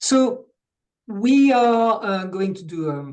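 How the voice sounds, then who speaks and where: Speaking very slowly, a man talks in a French accent. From France. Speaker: coach and webinar co-host. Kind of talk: online workshop introduction.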